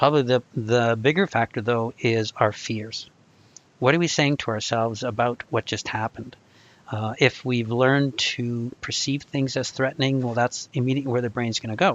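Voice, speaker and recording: An unremarkable speaking voice moves at a moderate pace with fairly even intonation. The sound is dry and close, with no echo. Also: man, medium pitch for a man. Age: 60s. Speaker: anxiety recovery coach. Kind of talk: live video call discussion. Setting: video call.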